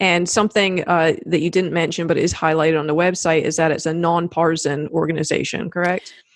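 A fairly low-pitched woman with an American accent at a very fast pace, with hardly any pauses, monotone, flat intonation, very even loudness, and noticeable background noise. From South Carolina. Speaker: podcast host. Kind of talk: interview. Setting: remote video call.

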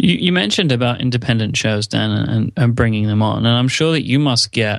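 Against a quiet background, a man speaks at a moderate pace in an unremarkable speaking voice of medium pitch. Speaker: podcaster. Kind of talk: casual interview chat.

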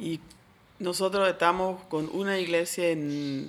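A woman's fairly low voice holds a monotone, flat intonation. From Switzerland. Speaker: church worker and teacher. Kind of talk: interview.

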